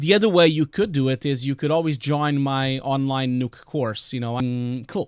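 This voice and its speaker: A man speaks with a strong Portuguese accent and a fairly high pitch. The recording is very clean, with a silent background, and the sound is dry and close with no echo. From Portugal. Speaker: VFX compositor and streamer. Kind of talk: live stream tutorial and Q&A. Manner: hesitant, many fillers.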